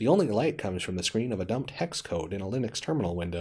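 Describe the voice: Someone is doing plain reading aloud.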